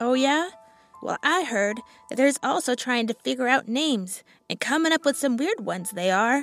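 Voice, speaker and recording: A female-sounding voice does a gruff put-on character voice at a high pitch and moderate pace, with faint music in the background. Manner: gossipy, folksy.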